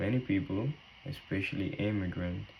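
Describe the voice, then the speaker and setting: A man with a Spanish accent and a fairly low voice. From Cuba. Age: 20s. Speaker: nursing student. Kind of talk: class presentation.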